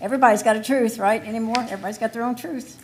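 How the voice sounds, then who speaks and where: Her intonation changes little and stays fairly even. The voice belongs to a woman. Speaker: resident speaking at public hearing. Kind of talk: public hearing testimony. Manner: informal, conversational.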